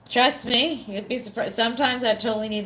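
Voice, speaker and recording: Moderate pace over noticeable background noise. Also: woman. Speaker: streamer. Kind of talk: casual chat. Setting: at home. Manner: halting.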